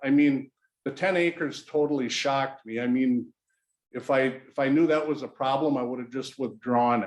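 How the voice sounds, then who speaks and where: Here is an unremarkable speaking voice. It moves along at a moderate pace. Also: man. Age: 60s. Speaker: local business owner, applicant at public meeting. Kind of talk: public meeting testimony. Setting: city planning commission meeting room.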